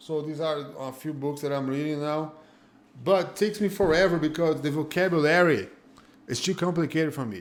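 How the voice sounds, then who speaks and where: Amid audible room echo, a speaker with a Brazilian Portuguese accent moves at a fairly quick pace with ordinary pitch variation. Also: man, fairly high pitch for a man. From Northeast Brazil (Fortaleza). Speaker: jiu-jitsu school owner and instructor. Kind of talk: casual interview chat. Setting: live-streamed online call.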